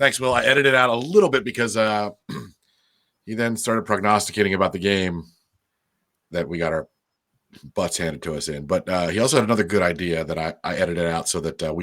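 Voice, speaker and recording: A man with an American accent at a very fast pace, with lively intonation and long, frequent pauses, in a very clean recording with a silent background. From Baltimore, Maryland. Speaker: podcast host. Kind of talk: casual chat.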